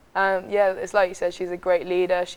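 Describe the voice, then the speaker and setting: Her voice fairly low, a woman with an English accent talks at a fairly quick pace. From England, Southampton. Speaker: college soccer player. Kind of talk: interview.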